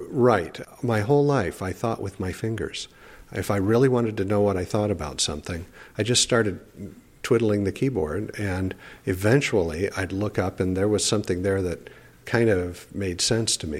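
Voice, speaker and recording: A man with a plain, everyday voice, fairly low in pitch, at a moderate pace. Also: ordinary pitch variation. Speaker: professor living with ALS. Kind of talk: interview.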